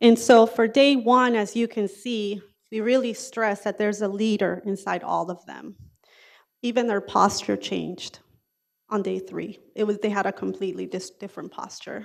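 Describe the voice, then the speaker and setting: On a very clean recording with a silent background, a woman of medium pitch talks at a moderate pace with fairly even intonation and big swings in loudness. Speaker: school district program administrator. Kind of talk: presentation. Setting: school board meeting.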